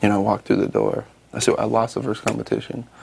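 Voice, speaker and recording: Noticeable background noise is present in the clip. A man rattles off his words very fast. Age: 30s. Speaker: reality show contestant. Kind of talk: casual chat.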